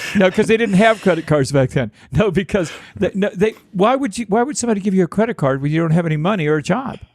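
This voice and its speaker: A man's high voice with lively intonation amid noticeable background noise. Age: 60s. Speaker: podcast host. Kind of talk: casual podcast chat.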